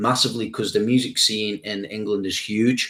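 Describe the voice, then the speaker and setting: A man speaks at a moderate pace with a Stoke accent. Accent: Stoke accent, often mistaken for Scouse. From English Midlands, Stoke-on-Trent. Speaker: YouTube reaction channel host. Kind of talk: live stream Q&A, reading chat. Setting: live stream. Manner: casual, energetic.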